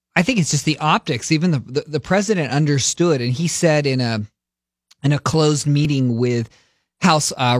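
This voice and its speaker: A man talks at a fairly quick pace in a plain, everyday voice, medium-pitched with ordinary variation. The sound is dry and close with no echo, on a very clean recording with a silent background. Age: 30s. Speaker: political strategist. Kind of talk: political commentary.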